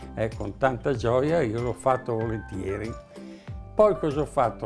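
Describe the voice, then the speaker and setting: With music in the background, a man speaks at a moderate pace with a Mantuan accent. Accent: Northern Italian, Mantuan. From Northern Italy. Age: 80s+. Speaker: humorist, dialect poet. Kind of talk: interview answer.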